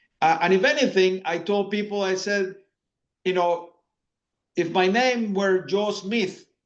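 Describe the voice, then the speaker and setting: A man with a Spanish accent, high pitch and fairly even intonation. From Latin America. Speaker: finance executive. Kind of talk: interview conversation. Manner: hesitant, many fillers and repetitions.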